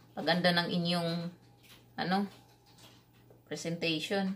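Very slowly and somewhat breathily, a woman speaks at a fairly low pitch in a monotone, flat delivery. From Visayas, Philippines. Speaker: cooking vlogger. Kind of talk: cooking tutorial. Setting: home kitchen. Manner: halting, stumbles over words. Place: kitchen.

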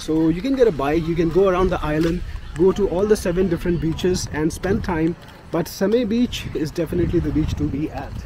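A man's high voice at a fairly quick pace, dry with no echo, against noticeable background noise. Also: ordinary pitch variation. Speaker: travel vlogger. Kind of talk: casual vlog chat. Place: street. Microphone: phone near.

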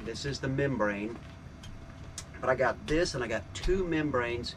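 A man speaks while faint music sits in the background. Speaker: sailing vlogger. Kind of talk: casual vlog chat. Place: boat. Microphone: camera far.

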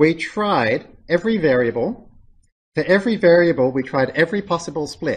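A normal speaking voice, lively in intonation, moves at a moderate pace over a quiet background. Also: man. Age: 40s. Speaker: lecturer. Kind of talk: lecture. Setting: classroom with students.

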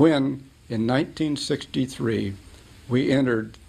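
Vocal fry marks a man's voice, which has ordinary pitch variation. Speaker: interviewee. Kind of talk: interview answer. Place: studio.

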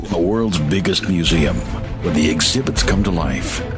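Loud music plays in the background as a man speaks at a moderate pace. The sound is dry, with no echo. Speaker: voice actor. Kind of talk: TV commercial read. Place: booth. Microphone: studio mic.

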